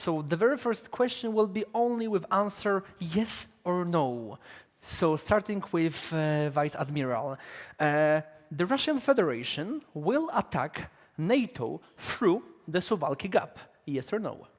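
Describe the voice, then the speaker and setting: With a Polish accent, a man speaks at a high pitch. His pitch swings very widely, and his pace is fairly slow. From Poland. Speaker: panel moderator, defence editor. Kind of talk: conference panel moderation. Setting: conference stage with audience.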